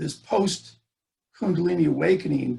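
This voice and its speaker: A man's high voice with an American accent, lively intonation and a fairly slow pace. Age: 60s. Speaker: poet and speaker. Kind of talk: talk. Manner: halting, many fillers.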